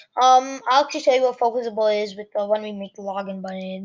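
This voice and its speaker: Against a quiet background, a woman talks at a very fast pace with a fairly high pitch and fairly even intonation. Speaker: coding tutorial youtuber. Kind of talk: tutorial. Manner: casual, filler-heavy.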